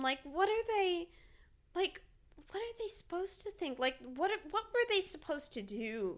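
A woman with an American accent speaks at a moderate pace in an extremely high pitch. Her tone is bubbly, with very wide pitch swings. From Texas. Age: 20s. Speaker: fine artist. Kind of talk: casual chat. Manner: animated, lots of pitch variation.

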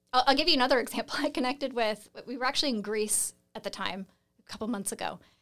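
With an American accent, a woman speaks at a very fast pace and ordinary pitch variation on a very clean recording with a silent background. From US Pacific Northwest, Seattle. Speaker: real estate investor and coach. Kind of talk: interview conversation.

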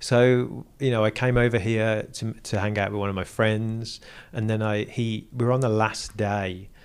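This very clean recording has a silent background. A man's fairly low voice keeps its intonation fairly even. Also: moderate pace. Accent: English. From England, Burton upon Trent. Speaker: automotive engineer and entrepreneur. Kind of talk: casual interview.

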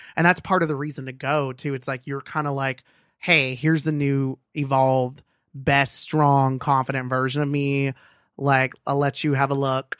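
A man with an American accent speaks at a moderate pace and a fairly high pitch. The recording is very clean, with a silent background and a dry, close sound with no echo. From Los Angeles. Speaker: guest on advice podcast. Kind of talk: casual chat. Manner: animated.

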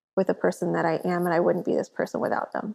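The voice has vocal fry and is delivered with an American accent. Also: woman. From Corpus Christi, Texas. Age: 30s. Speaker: artist and entrepreneur. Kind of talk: casual interview chat. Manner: animated.

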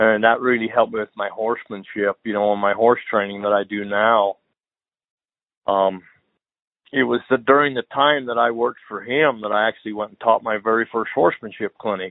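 With a western US accent, a man speaks fairly quickly at a medium pitch, his intonation fairly even but his loudness swinging widely. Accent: rural western US. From Utah. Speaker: horse trainer. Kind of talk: casual interview.

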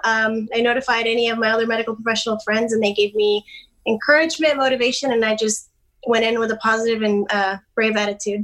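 Speaking at a very fast pace, a woman has an American accent. Her fairly high voice holds a monotone, flat intonation. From North Texas. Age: young. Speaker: travel nurse. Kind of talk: interview.

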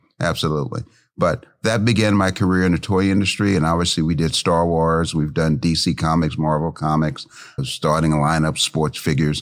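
A man with an American accent speaks at a very deep, low pitch and a moderate pace. His loudness stays very even, his pitch varies in an ordinary way, and the recording is very clean with a silent background. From US Midwest, Cincinnati, Ohio. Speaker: esports entrepreneur. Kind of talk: interview.

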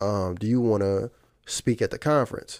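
A man speaks. The recording is very clean, with a silent background. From Virginia. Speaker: musician and digital marketer. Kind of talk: casual interview chat.

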